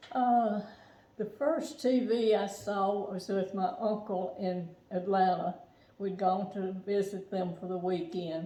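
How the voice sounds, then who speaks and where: Very slow speech from a woman with an American accent, medium in pitch with ordinary pitch variation. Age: 80s+. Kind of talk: interview answer.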